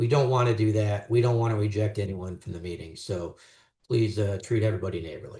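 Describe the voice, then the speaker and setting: Somewhat breathy, a man talks at a very fast pace. His pitch varies in an ordinary way. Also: fairly low pitch for a man, quiet background. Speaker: neighborhood meeting chair. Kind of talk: meeting opening remarks.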